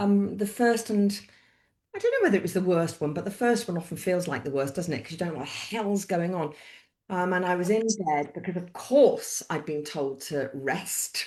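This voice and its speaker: Speaking with a British accent, a woman talks at a moderate pace and medium pitch. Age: 60s. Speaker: author and midwife. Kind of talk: interview. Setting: live-streamed video call. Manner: conversational, hesitant with fillers.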